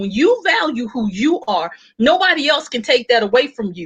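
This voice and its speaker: Loud and animated, a woman with a Texan accent speaks at a moderate pace in a bright, sharp tone with a high pitch. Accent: Texan Southern US. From Texas. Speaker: panel speaker. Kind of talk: panel discussion.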